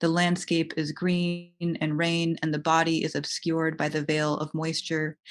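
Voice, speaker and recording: Against a quiet background, a woman speaks in a monotone, flat intonation with an American accent. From United States. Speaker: writer. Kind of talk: poetry reading. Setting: online video event.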